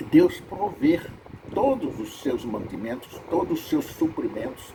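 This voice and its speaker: A man at a fairly slow pace with very wide pitch swings, plus audible room echo and noticeable background noise. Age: 80s+. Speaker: preacher. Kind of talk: sermon.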